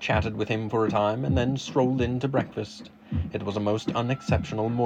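The clip is someone reading aloud in a natural voice. Fairly even intonation runs throughout.

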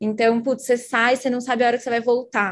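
A woman talks at a fairly quick pace in a fairly high pitch against a quiet background. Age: 20s. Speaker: marketing lead. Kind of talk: casual chat.

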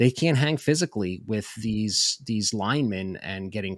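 On a very clean recording with a silent background, a man speaks at a fairly slow pace, his pitch fairly low with ordinary variation. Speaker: football prospect analyst. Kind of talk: casual interview. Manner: explanatory.

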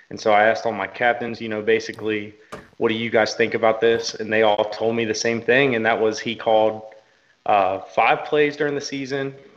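In a Southern US accent, a man speaks fairly quickly at a medium pitch with fairly even intonation. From Kentucky. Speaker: football coach and GM. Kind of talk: interview. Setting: video call.

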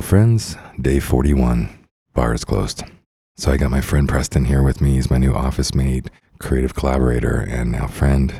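With an American accent, a man speaks in a very deep, low pitch at a moderate pace with fairly even intonation. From Idaho, US. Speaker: podcast host. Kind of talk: casual chat. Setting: office.

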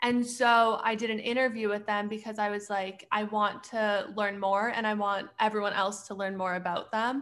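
A woman with a western Canadian accent speaks at a moderate pace. Her fairly high voice holds a monotone, flat intonation. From Canada, Edmonton, Alberta. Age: 20s. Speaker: graduate student and clothing brand owner. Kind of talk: casual chat.

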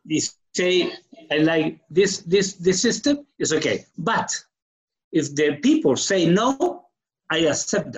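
In a strong Chilean accent, a man speaks very slowly in a high pitch, with very wide pitch swings and long, frequent pauses. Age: 60s. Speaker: guest telling his story. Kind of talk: casual conversation, interview. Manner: halting, struggles with English.

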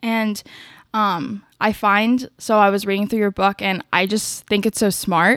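At a fairly slow pace, an ordinary speaking voice comes through with fairly even intonation on a very clean recording with a silent background and a dry, close sound with no echo. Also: woman, medium pitch for a woman. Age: 20s. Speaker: podcast host, PR worker. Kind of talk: casual interview. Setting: at home in her apartment. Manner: many fillers, laughing.

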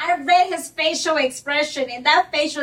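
Her voice is high-pitched with ordinary pitch variation, as a woman talks at a moderate pace over noticeable background noise. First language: Spanish. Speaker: mortgage broker. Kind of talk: casual chat.

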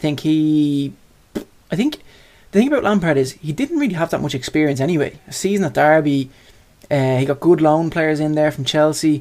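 He talks at a fairly quick pace in an Irish accent. This man's pitch sits fairly high. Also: ordinary pitch variation. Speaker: sports podcast co-host. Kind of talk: casual chat.

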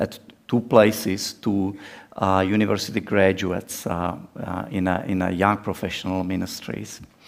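Fairly low in pitch, a man speaks with fairly even intonation. His pace is fairly slow. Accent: non-native. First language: Czech. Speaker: missionary preacher. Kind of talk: sermon. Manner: halting with many fillers.

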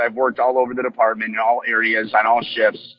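Music plays in the background. A man speaks at medium pitch in a monotone, flat intonation. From Michigan, US Midwest. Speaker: sheriff candidate, former police officer and Marine. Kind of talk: interview.

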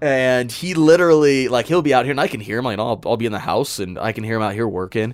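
Speaking very fast, a man with an American accent uses lively intonation. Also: medium pitch for a man. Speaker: haunted house owner. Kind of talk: casual interview chat. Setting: underground mine shaft set.

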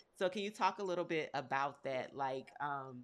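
A woman at a moderate pace. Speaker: podcast host. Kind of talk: casual interview. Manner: warm, enthusiastic.

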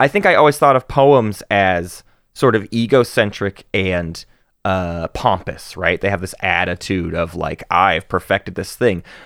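A man with an American accent talks in an ordinary speaking voice at a fairly slow pace, his pitch fairly low with ordinary variation, on a very clean recording with a silent background and a dry, close sound with no echo. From US South. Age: 30s. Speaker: podcast host. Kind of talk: casual chat.

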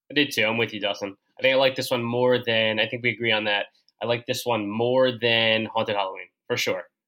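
With a bright, sharp tone, a man of medium pitch moves at a fairly quick pace in a monotone, flat delivery. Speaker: guest podcaster discussing Goosebumps books. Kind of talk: casual chat.

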